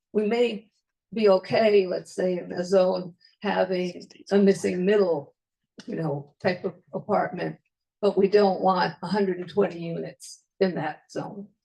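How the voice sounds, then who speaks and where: A woman's medium-pitched voice with vocal fry, big swings in loudness, fairly even intonation and a fairly slow pace. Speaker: resident speaking at public comment. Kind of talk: public comment at a zoning workshop.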